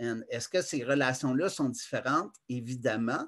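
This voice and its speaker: In a Quebec accent, a man speaks at a fairly slow pace against a quiet background. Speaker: conference presenter. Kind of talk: lecture. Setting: video call. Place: home room. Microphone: webcam.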